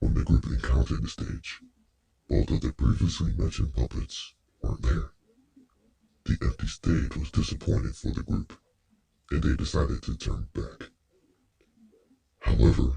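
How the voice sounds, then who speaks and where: Put-on character voice broken by long, frequent pauses. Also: man, very deep, low pitch for a man, moderate pace. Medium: audio drama. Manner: polite, precise.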